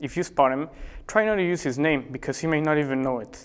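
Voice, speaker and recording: A man's unremarkable speaking voice, fairly high in pitch with ordinary pitch variation, at a fairly quick pace on a very clean recording with a silent background. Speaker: spoof news anchor. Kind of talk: mock news broadcast, satirical anchor delivery.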